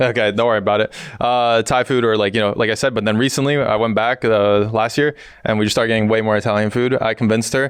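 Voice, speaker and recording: A man talks at a very fast pace with very even loudness. His intonation is monotone and flat. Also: medium pitch for a man. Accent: American. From US Northeast, New York City. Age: 20s. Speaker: pro esports player. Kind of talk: interview.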